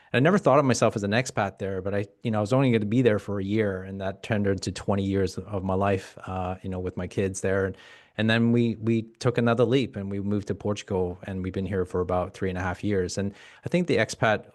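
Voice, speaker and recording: Against a quiet background, a man with a Canadian accent talks very fast in a fairly low voice with fairly even intonation. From Canada. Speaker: community group chair. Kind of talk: panel discussion. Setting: webinar video call.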